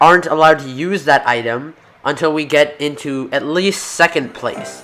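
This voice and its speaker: Behind this man there is music in the background. He speaks at a fairly slow pace and fairly high pitch with ordinary pitch variation. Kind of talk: gameplay commentary, casual talk over video game. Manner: casual, conversational, with hesitations and restarts.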